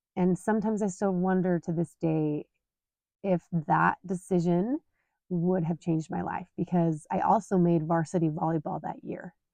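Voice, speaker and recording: A woman's dark, mellow voice in a Utah accent, at a moderate pace with fairly even intonation. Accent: Utah American English. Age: 40s. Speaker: podcast host. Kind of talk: personal storytelling monologue. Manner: casual, conversational with fillers.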